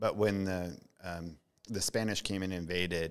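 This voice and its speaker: Speaking at a moderate pace in an American accent, a man with a very deep, low pitch delivers flat, monotone lines in a bright, sharp tone on a very clean recording with a silent background. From US, Mount Vernon. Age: 40s. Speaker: author and artist. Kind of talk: casual chat. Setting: brewery.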